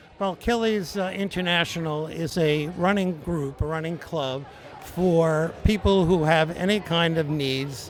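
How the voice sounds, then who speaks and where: Speaking at a high pitch and a fairly slow pace, a man is heard over noticeable background noise. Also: ordinary pitch variation. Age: 70s. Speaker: adaptive athlete and running club member. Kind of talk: interview.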